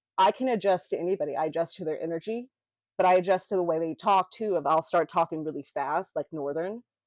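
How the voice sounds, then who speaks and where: A woman with an American accent talks at a fairly quick pace and fairly low pitch. Her pitch varies in an ordinary way, and the sound is dry and close with no echo. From US South, Memphis, Tennessee. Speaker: podcast co-host. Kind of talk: casual chat. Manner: even, neutral tone; animated, gestures when passionate.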